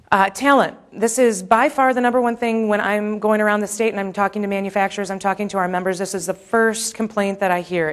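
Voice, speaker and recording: Noticeable background noise sits behind a woman who talks at a fairly quick pace and a medium pitch. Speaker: manufacturing industry policy advocate. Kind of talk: conference presentation. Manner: fast.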